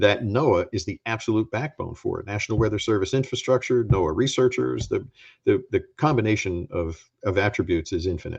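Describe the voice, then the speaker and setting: Against a quiet background, a somewhat breathy man with a fairly low pitch talks at a fairly quick pace with lively intonation. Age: 60s. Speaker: former agency administrator and scientist. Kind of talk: talk with slides. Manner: emphatic.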